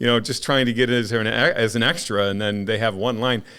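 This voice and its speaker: This man has an unremarkable speaking voice at medium pitch. He talks fairly quickly with fairly even intonation. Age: 50s. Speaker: podcast host. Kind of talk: casual chat.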